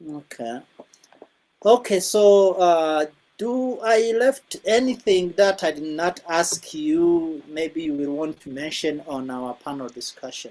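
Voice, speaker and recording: With a non-native accent, a woman speaks very slowly at a fairly low pitch in a dark, mellow tone, her pitch swinging very widely and her loudness shifting in big swings. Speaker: interviewer. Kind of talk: interview.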